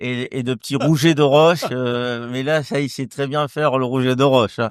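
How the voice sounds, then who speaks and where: A man's medium-pitched voice with a slight Marseille accent, fairly even intonation and a moderate pace. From southern France, near Marseille. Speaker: winemaker. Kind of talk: casual interview. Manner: halting, many repetitions.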